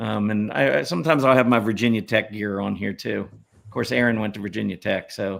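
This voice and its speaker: A man with a fairly low voice and vocal fry shows ordinary pitch variation in a very clean recording with a silent background. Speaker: stock market analyst and show host. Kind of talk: casual chat. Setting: live stream with viewer comments. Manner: relaxed, hesitant with many fillers.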